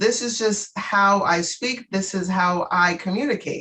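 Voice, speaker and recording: A woman's bright, sharp tone. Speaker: podcast host, consultant. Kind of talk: casual chat. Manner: rising intonation at ends of words.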